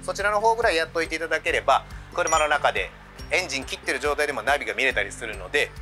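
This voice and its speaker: A man rattles off his words very fast while clear music sounds behind him. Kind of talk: product demonstration. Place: street.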